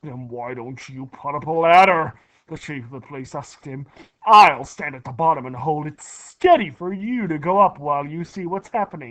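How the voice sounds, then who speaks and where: Shouting in a put-on character voice, the speaker keeps a low-to-middle pitch and a moderate pace. The background is quiet. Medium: read story. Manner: shouting, excitable.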